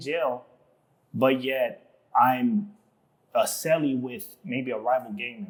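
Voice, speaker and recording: Speaking with an American accent, a man uses lively intonation. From Southeast San Diego, California. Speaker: tile installer. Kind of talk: casual podcast interview. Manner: casual, slangy with many fillers.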